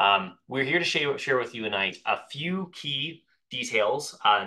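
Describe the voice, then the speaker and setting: Lively intonation carries a bright, sharp tone. The background is quiet. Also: man. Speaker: webinar host. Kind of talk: webinar introduction. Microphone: video call.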